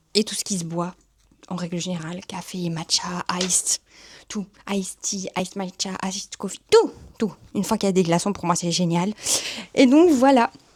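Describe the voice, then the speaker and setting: A woman in a Belgian accent, somewhat breathy and medium in pitch, with ordinary pitch variation, a moderate pace and long, frequent pauses, in a dry, close sound with no echo. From Belgium. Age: 30s. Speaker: YouTuber and communications professional. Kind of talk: casual vlog introduction. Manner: chatty.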